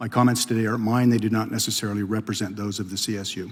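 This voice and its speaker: Soft-spoken and very fast, a man talks at medium pitch with fairly even intonation. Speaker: fire institute director, former fire service officer. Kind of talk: congressional testimony. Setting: committee hearing room. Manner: formal. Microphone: too quiet at first.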